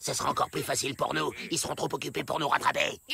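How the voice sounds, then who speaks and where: A man does a cartoonish character voice. He talks at a very fast pace. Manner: bossy, scheming.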